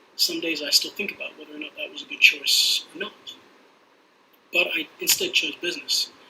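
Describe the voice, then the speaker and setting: A fairly quick pace in an American accent, with noticeable background noise. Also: man. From UK. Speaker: diplomat and trade policy adviser. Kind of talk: webinar talk. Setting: online webinar.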